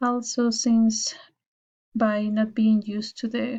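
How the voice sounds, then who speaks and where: Somewhat breathy and fairly high in pitch, a woman with a Spanish accent speaks at a fairly slow pace in a monotone, flat intonation. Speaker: university student. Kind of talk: class presentation. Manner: formal.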